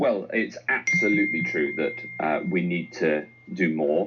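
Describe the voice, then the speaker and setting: Music is heard in the background. Over it, a man speaks at a fairly slow pace. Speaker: government health minister. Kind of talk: radio interview answer.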